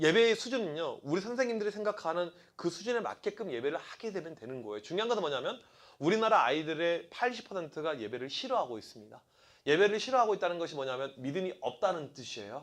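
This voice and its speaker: Speaking very fast, a man with a high voice makes very wide pitch swings and big swings in loudness. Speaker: youth pastor. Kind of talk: seminar talk.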